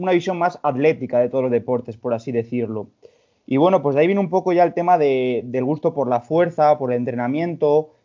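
Here is a man with a plain, everyday voice. His pitch is fairly high, with ordinary variation. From Spain, León. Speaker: personal trainer and amateur bodybuilder. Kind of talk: casual chat.

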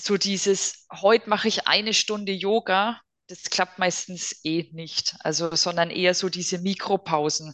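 A woman speaks at a fairly slow pace and medium pitch with fairly even intonation, the sound dry and close with no echo and the background quiet. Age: 40s. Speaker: psychotherapy practitioner. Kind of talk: casual interview.

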